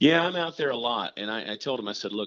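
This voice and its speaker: With an American accent, a man talks at a very fast pace with lively intonation. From US South, Augusta, Georgia. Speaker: comedian. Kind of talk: casual chat.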